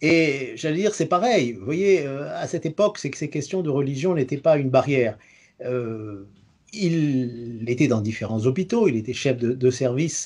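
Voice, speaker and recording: A man's fairly high voice, lively in intonation, at a moderate pace against a quiet background. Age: 60s. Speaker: retired engineer and community radio host. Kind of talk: interview answers. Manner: hesitant, frequent 'euh' and repetitions.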